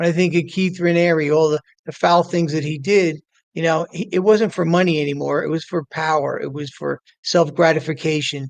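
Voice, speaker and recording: The sound is dry and close with no echo as a man with a fairly high voice speaks at a moderate pace. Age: 60s. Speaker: recovery coach, recovering addict. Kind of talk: interview on live stream. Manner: halting, many repetitions.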